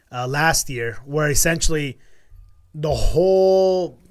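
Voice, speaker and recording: This man has a fairly high pitch and speaks with a Spanish accent. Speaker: crypto podcast host. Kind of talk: casual chat. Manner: animated.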